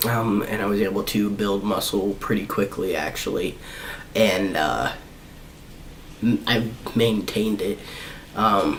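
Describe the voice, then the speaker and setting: A man speaks in a fairly low voice. Noticeable background noise and audible room echo surround him. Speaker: vlogger. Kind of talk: personal vlog update. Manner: halting.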